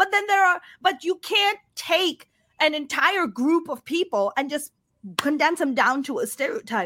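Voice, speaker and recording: An animated woman's voice, extremely high-pitched, bright and sharp, raised and projected, with very wide pitch swings at a fairly slow pace. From Pakistan. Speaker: stand-up comedian. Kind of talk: casual interview.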